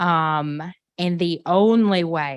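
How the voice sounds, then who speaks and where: A woman with a fairly low pitch and a Southern US accent. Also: very clean recording, silent background. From Arkansas. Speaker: history professor. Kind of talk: panel discussion.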